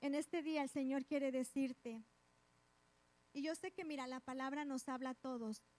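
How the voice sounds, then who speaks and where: The speech moves at a moderate pace with fairly even intonation and long, frequent pauses, in a dry, close sound with no echo. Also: woman, high pitch for a woman. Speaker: preacher. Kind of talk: sermon. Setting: church.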